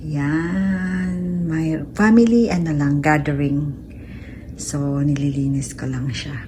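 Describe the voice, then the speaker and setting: Noticeable background noise runs under the voice. The pace is very slow. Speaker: caregiver vlogger. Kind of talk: casual vlog. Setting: walking outdoors.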